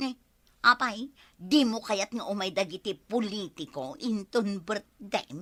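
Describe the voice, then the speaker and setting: A woman's put-on character voice at medium pitch, lively in intonation, fairly slow in pace, dry and close with no echo. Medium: audio drama. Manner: proud, showy.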